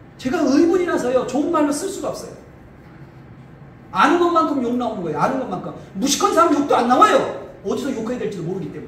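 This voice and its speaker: Very fast and animated, the voice swings very widely in pitch. Noticeable background noise is present. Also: man, extremely high pitch for a man. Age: 50s. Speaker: pastor. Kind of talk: political speech.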